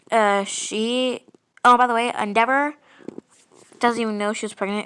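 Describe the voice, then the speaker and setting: Bright and sharp in tone, a woman talks at a moderate pace in a fairly high pitch with monotone, flat intonation. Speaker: fan fiction storyteller. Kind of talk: casual storytelling monologue. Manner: halting, many fillers.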